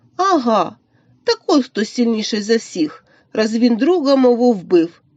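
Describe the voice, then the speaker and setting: A woman's voice sits at a fairly high pitch. It is a put-on character voice. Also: fairly slow pace. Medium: read story.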